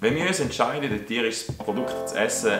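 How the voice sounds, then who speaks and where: A man speaks with a Swiss accent. Music plays in the background. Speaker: vegan animal rights advocate. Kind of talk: opinion commentary to camera.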